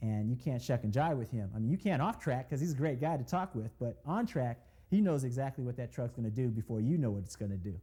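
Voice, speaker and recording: Over a very clean recording with a silent background, a dark, mellow, somewhat breathy voice moves at a very fast pace with lively intonation and hardly any pauses. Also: man, medium pitch for a man. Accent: American. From Oakland, California. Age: 40s. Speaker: race car driver. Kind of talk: interview. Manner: conversational.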